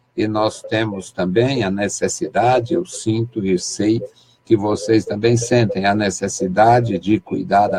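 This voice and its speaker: At a very slow pace, a man talks with a fairly low pitch and ordinary pitch variation. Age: 60s. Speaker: pastor. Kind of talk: sermon.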